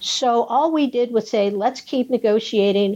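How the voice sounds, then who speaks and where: With an American accent, a woman speaks in a dark, mellow tone using fairly even intonation. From US West Coast (San Gabriel Valley, California). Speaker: city council member, politician. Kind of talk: interview.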